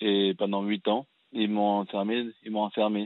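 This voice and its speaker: A man's fairly low-pitched voice in a flat monotone. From France (raised from age six, born in Cameroon). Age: 30s. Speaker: fashion designer and film director. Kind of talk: testimony. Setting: radio call-in show.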